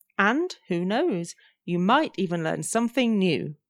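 A woman at medium pitch with lively intonation, in a very clean recording with a silent background. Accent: English Midlands. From English Midlands. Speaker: English teacher and podcast co-host. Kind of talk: casual chat.

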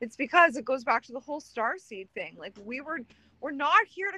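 Raised and projected, a woman's high-pitched voice with a Canadian accent carries a bright, sharp tone and lively intonation at a moderate pace, recorded dry and close with no echo. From Manitoba, Canada. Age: 30s. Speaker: spiritual social media personality. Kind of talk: casual chat.

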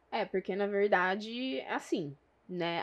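With a Minas Gerais accent, a woman speaks at a very slow pace and medium pitch with ordinary pitch variation against a quiet background. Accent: Minas Gerais (mineiro). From São José do Rio Preto, São Paulo state, Brazil. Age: 20s. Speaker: real estate marketing professional. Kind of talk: casual interview. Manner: talkative.

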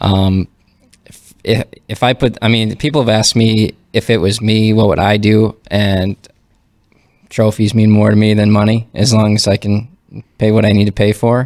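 A man with an Upper Midwest accent speaks at a moderate pace in a fairly low pitch, with monotone, flat intonation and very even loudness. He takes long, frequent pauses, and the recording is very clean with a silent background. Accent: Upper Midwest American. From North Dakota (Fargo). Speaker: professional golfer. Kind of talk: casual chat.

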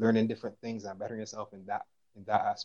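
A man speaks with a Barbadian accent. His pitch is fairly low. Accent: Bajan (Barbadian). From Barbados, St. George. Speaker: footballer. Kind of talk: casual chat.

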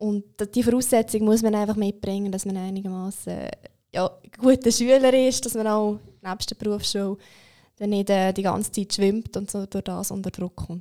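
With a dark, mellow tone at medium pitch, a woman speaks at a moderate pace with fairly even intonation in a very clean recording against a silent background. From Switzerland, Aargau (Zofingen). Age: 20s. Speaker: apprentice trainer at a bank. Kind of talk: podcast interview. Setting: studio.

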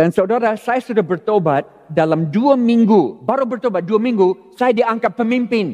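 A man talks at a moderate pace with hardly any pauses and very even loudness. His high voice has a dark, mellow tone and lively intonation. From California, US. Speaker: pastor. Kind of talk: sermon. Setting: church.

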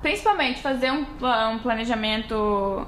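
At a moderate pace, a woman uses an ordinary speaking voice with fairly even intonation. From Brazil, Rio Grande do Sul (western border near Uruguaiana). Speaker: podcast co-host. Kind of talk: casual chat.

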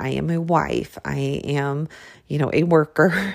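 The woman's voice is very deep and low, with vocal fry. Her tone is animated. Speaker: podcast host and fitness instructor. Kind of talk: casual monologue. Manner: animated, frequent laughing.

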